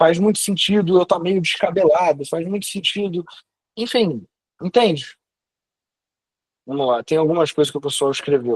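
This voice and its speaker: A man with a high pitch, ordinary pitch variation, a moderate pace and long, frequent pauses, in a dry, close sound with no echo. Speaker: online class teacher on personal branding. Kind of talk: lecture. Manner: casual, slangy.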